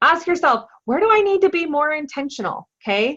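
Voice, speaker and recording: Raised and projected, a woman's bright, sharp voice runs at a fairly quick pace with very wide pitch swings. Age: adult, parent. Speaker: network marketing team leader. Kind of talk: motivational training call.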